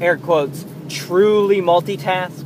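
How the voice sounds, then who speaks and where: A high-pitched man at a very slow pace, with noticeable background noise. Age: 20s. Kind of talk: casual monologue. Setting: in a car. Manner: halting.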